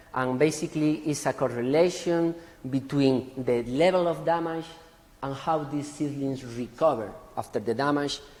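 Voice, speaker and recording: In a room with audible echo, a man speaks at a moderate pace in a fairly high pitch with fairly even intonation. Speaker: forest genetics researcher. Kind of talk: conference talk.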